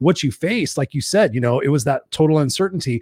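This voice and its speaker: A man talks at a very fast pace in an animated tone. His fairly high voice comes through on a very clean recording with a silent background. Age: 50s. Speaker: podcast host and coach. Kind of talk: casual interview chat.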